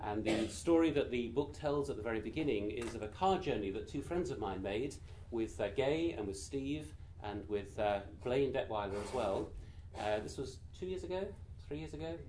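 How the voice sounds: Speaking quietly with an English voice in a British accent, a man uses lively intonation at a medium pitch and a moderate pace.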